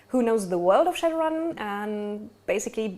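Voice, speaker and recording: A woman with a German accent talks at a moderate pace in a fairly high pitch, her voice making very wide pitch swings. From Germany. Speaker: game master. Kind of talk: tabletop game session intro. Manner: hesitant, many fillers.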